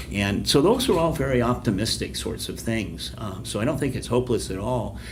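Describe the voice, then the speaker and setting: Recorded with noticeable background noise and audible room echo, a man talks at a fairly quick pace with ordinary pitch variation. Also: medium pitch for a man. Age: 60s. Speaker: public relations professor. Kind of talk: podcast interview.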